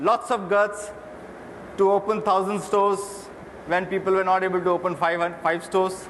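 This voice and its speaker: Over noticeable background noise, a man with a high voice speaks at a moderate pace in a monotone, flat intonation, keeping his loudness very even and leaving long, frequent pauses. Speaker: retail executive, interviewer. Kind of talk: stage interview questions.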